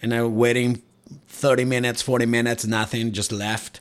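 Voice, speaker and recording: A man of medium pitch with a Spanish accent, speaking at a moderate pace. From Mexico, Cuernavaca. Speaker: tattoo artist. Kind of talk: casual chat.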